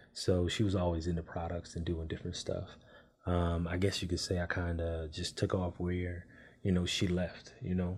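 A man with a very deep, low pitch and an American accent speaks at a moderate pace in a somewhat breathy, monotone, flat delivery, recorded very cleanly with a silent background. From California, Oakland (Bay Area). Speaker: Navy veteran and beard-care entrepreneur. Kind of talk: casual chat.

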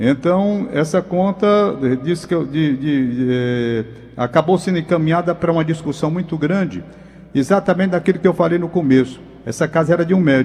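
High-pitched man's voice with ordinary pitch variation. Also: moderate pace. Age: 70s. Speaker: radio co-host. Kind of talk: radio interview.

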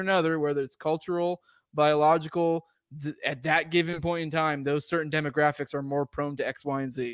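Over a silent background on a very clean recording, a man with a fairly high pitch talks in an ordinary speaking voice at a fairly quick pace with fairly even intonation. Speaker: podcaster, atheist guest. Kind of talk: casual philosophical discussion. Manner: casual, profane.

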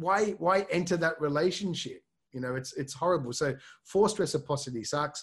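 With an Australian accent and a fairly high pitch, a man talks at a fairly quick pace with lively intonation against a quiet background. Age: 40s. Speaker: LinkedIn consultant. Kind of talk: interview.

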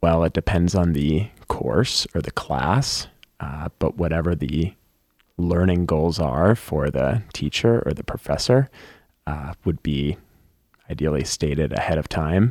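With a very deep, low voice and vocal fry, a man speaks at a fairly slow pace with lively intonation, the sound dry and close with no echo. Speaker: teacher. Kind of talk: casual chat. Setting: studio.

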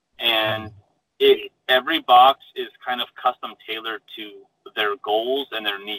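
A man with an American accent has an ordinary speaking voice at medium pitch. He talks at a fairly slow pace with fairly even intonation and big swings in loudness. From Arizona. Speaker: engineer and startup founder. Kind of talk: interview.

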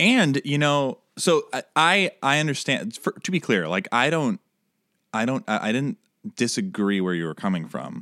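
Bright and sharp in tone, a man's fairly high voice swings very widely in pitch. He keeps a moderate pace, with a dry, close sound and no echo. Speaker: podcast host. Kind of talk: casual comedic chat.

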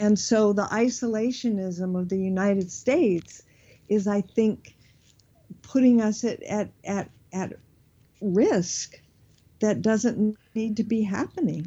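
Speaking very slowly with an American accent, a woman uses a medium pitch, ordinary pitch variation and a somewhat breathy tone. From US, Southern California (Beverly Hills). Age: 70s. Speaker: spiritual teacher and author. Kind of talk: interview.

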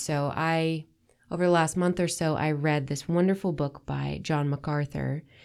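Over a silent background on a very clean recording, a woman speaks with a warm, animated tone at a very deep, low pitch. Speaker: faith podcast host. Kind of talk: casual devotional monologue. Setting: solo podcast recording.

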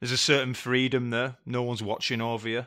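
The recording is very clean, with a silent background. A man with a northern English accent talks at a very fast pace in a medium pitch and a bright, sharp tone. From northern England. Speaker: guest interviewer and friend. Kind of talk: casual chat.

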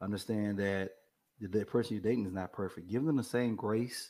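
A fairly low male voice, dark and mellow in tone, with fairly even intonation. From East Texas. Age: 40s. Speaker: program manager, military veteran. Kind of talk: casual panel discussion. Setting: video call.

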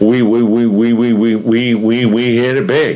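A man speaks at a medium pitch in a put-on character voice. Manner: stuttering.

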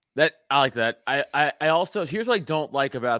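This man's pitch swings very widely as he speaks with an American accent. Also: very clean recording, silent background. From New York City, Staten Island. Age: 30s. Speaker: podcast host and stand-up comedian. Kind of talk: casual chat. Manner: animated.

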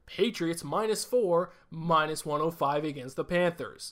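A man uses a put-on character voice pitched high. He talks at a fairly slow pace. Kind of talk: radio announcer style. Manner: exaggerated, announcer-like.

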